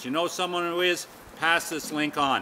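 A man with a high pitch at a moderate pace, over light background noise. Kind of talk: promotional talk to camera. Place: open country. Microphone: camera far.

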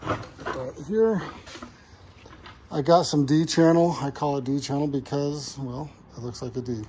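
A man speaks at a fairly slow pace with ordinary pitch variation. Light background noise can be heard. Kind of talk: casual vlog chat. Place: garage. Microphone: phone near.

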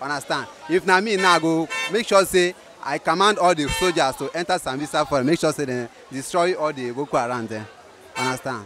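A man with ordinary pitch variation, in a dry sound with no echo, with clear music in the background. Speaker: interviewee. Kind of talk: interview answer. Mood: relaxed, smiling. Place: market. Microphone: handheld.

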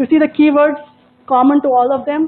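Over light background noise, a woman talks at a very fast pace with fairly even intonation. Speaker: professor giving a talk. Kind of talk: lecture. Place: classroom. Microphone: lapel.

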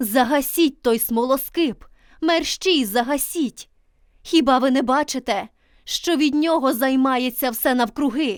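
Putting on a character voice, a woman speaks fairly slowly in a shrill, high pitch. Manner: wild, shrieking.

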